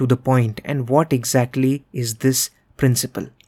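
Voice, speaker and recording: A man with an Indian accent and a fairly high pitch, dry and close with no echo, on a very clean recording with a silent background. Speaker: podcast host and MBA career coach. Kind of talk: solo podcast monologue, motivational. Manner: fluent, earnest, instructive.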